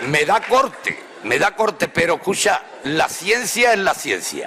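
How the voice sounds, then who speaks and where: Someone with an Andalusian accent speaks at very even loudness over noticeable background noise. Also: man. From Andalusia, Spain. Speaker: professor of Spanish language and literature. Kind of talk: humorous public lecture. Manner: humorous, conversational.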